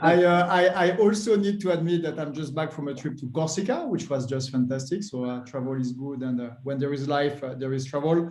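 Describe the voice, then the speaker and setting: A man's fairly high voice with a French accent, at a fairly quick pace with ordinary pitch variation. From France. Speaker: business executive. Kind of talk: panel discussion. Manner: halting.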